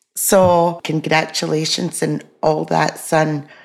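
A woman's very deep, low voice in a Scottish accent, at a very slow pace. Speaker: podcast co-host, mother. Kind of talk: casual chat. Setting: video call.

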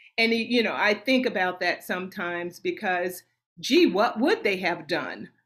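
This voice is a normal speaking voice with an American accent, lively intonation and a moderate pace. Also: woman, medium pitch for a woman. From US South, Nashville, Tennessee. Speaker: opera singer. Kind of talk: casual interview.

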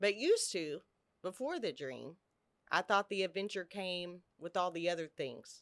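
A woman with an unremarkable speaking voice and a medium pitch speaks at a moderate pace with ordinary pitch variation, in a very clean recording with a silent background. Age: 50s. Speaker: podcast host, recovering addict. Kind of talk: casual chat. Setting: studio, office building.

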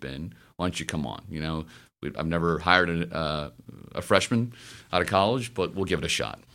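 A man with a very deep, low voice and an American accent, on a very clean recording with a silent background. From US South, Memphis, Tennessee. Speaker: finance executive. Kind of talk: interview. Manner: eloquent, smooth.

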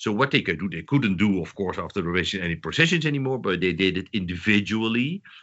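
A man's fairly low voice with a Dutch accent, very fast and lively, with hardly any pauses. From southern Netherlands. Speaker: historian, professor. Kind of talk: interview. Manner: halting.

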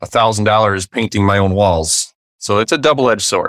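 In a plain, everyday voice, a man with an American accent speaks at a moderate pace and a fairly low pitch with fairly even intonation, on a very clean recording with a silent background and a dry, close sound with no echo. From Wisconsin, US Midwest. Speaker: real estate investor. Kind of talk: interview.

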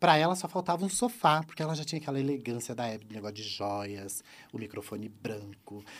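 Very wide pitch swings run all through this man's speech. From Santa Catarina, southern Brazil. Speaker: YouTube presenter and former celebrity impersonator. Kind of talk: casual chat.

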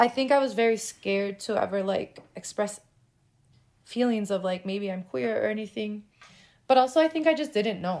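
A woman speaks with an American accent in a normal speaking voice, her pitch fairly high. Her intonation is lively and her pace moderate. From Chicago. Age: 30s. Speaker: intersex activist and filmmaker. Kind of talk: casual interview.

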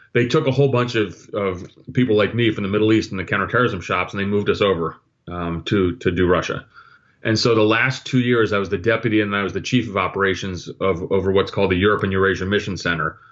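This man speaks at a very fast pace. His pitch sits fairly low and varies in an ordinary way. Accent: New Jersey. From New Jersey. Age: 50s. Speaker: retired intelligence officer. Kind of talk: interview. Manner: halting with many repetitions.

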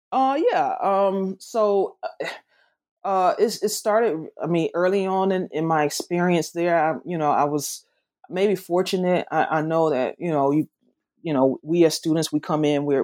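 Against a quiet background, a woman talks with a Southern US accent. Her pitch is fairly low, with ordinary variation, at a moderate pace. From US South, not Memphis. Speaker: author and professor. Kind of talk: interview about her book. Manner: hesitant, filler-heavy.

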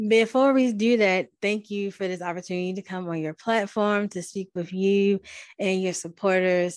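Against a quiet background, a woman with an American accent and an unremarkable speaking voice speaks at a medium pitch and moderate pace, with ordinary pitch variation. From Baltimore, US. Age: 30s. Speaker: podcast host and abuse survivor advocate. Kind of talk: testimony.

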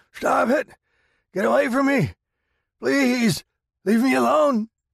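A man shouting in a high-pitched put-on character voice, fairly slow, with a dry, close sound and no echo. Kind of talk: horror narration. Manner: screaming pleas, then snarling abuse.

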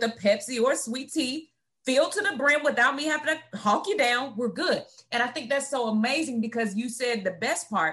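Her pitch high and her tone animated, a woman is speaking. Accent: Southern US. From north Florida, Gadsden County. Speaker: podcast host and coach. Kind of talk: casual interview chat. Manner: animated, high energy.

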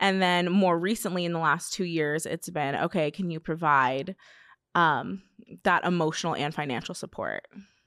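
A woman with an unremarkable speaking voice, fairly low in pitch, talks at a moderate pace with fairly even intonation on a very clean recording with a silent background. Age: 20s. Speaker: social media influencer. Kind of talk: casual chat.

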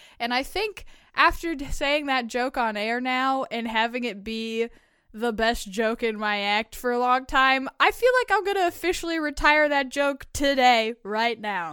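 In a very clean recording with a silent background, a woman with a high pitch and a bright, sharp tone speaks at a fairly slow pace with lively intonation. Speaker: co-host. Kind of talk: casual chat, reading listener confessions.

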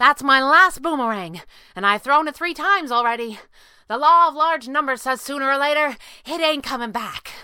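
Pitching her voice high, a woman performs a put-on character voice. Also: moderate pace, very clean recording, silent background.

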